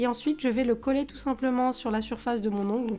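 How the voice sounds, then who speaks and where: Dark and mellow in tone, the voice moves at a fairly quick pace with fairly even intonation. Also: woman. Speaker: nail art youtuber. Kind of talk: tutorial voice-over. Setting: voice-over.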